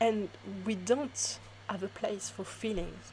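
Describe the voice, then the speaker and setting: A somewhat breathy woman's voice with a French accent. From France. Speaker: spiritual reader. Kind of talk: spiritual talk to camera.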